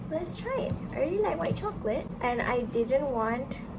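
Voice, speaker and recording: Over loud background noise, the speech comes at a very slow pace. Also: woman. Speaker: medical student. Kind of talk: casual vlog talk to camera. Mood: relaxed, playful. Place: home room. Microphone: phone near.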